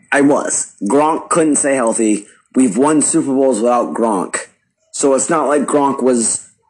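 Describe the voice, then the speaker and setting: Delivered at a fairly slow pace, this is a normal speaking voice with ordinary pitch variation. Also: man. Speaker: sports podcaster. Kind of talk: recorded voice clip opinion.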